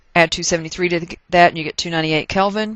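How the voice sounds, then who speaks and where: Her pitch fairly low, a woman speaks with a Texas accent. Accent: Texas twang. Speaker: chemistry teacher. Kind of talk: casual lecture. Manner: explanatory, instructional.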